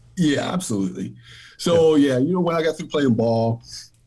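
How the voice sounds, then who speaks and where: A man in an American accent speaks with a dark, mellow, somewhat breathy tone. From US South. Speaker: former pro baseball player, physician assistant. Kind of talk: interview.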